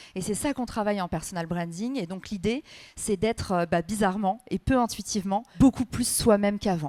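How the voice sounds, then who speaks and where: Her tone dark and mellow, a woman talks at a fairly quick pace with medium pitch and ordinary pitch variation, the sound dry and close with no echo. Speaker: personal branding expert and author. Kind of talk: conference interview. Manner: fast.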